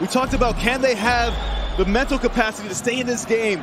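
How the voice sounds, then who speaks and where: The voice moves at a fairly quick pace with ordinary pitch variation. Background noise is noticeable. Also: man. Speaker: football analyst co-commentator. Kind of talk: co-commentator analysis during live match. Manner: measured, conversational analyst, calmer than play-by-play voice.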